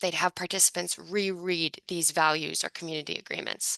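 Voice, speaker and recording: A woman talks at a very fast pace in a medium pitch with a bright, sharp tone. The sound is dry and close, with no echo. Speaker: book author presenting research. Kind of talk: academic presentation.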